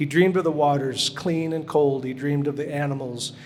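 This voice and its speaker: Amid noticeable background noise and audible room echo, a man speaks at a fairly high pitch and a moderate pace with fairly even intonation. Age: 60s. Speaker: glass sculpture artist. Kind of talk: reading aloud; lecture.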